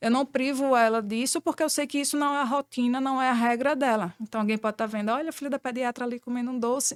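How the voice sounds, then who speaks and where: In a strong northeastern Brazilian accent, a woman talks at a very fast pace with hardly any pauses in a high pitch and fairly even intonation, in a very clean recording with a silent background and a dry, close sound with no echo. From Brazilian Northeast. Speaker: pediatrician. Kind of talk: podcast interview.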